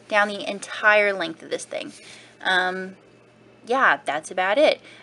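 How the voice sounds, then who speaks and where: A woman with a fairly high pitch and lively intonation speaks at a fairly slow pace against noticeable background noise. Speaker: crafting blogger. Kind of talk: tutorial. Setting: home video recording. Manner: casual, rambling.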